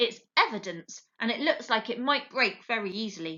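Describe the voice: Someone reads aloud plainly with lively intonation over a quiet background.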